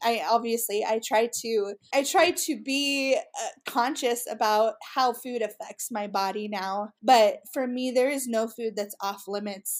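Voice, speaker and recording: A woman's normal speaking voice with an American accent, fairly high in pitch with ordinary pitch variation, at a fairly slow pace with hardly any pauses, on a very clean recording with a silent background. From US West, Utah. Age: 30s. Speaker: women's ministry leader. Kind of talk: interview conversation.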